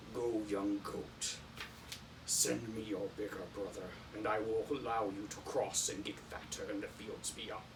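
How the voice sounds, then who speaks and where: Amid loud background noise, a man puts on a gravelly character voice at a fairly low pitch and a moderate pace. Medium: read story. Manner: slow, menacing.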